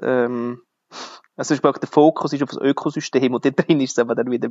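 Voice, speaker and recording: Speaking at a moderate pace in a Swiss German accent, a man uses ordinary pitch variation. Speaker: podcast host. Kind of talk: interview.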